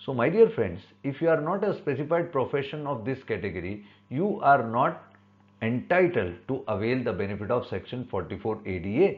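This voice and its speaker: At a moderate pace, a man speaks with an Indian accent at medium pitch. His pitch swings very widely. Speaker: chartered accountant. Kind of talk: tutorial. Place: home room. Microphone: webcam.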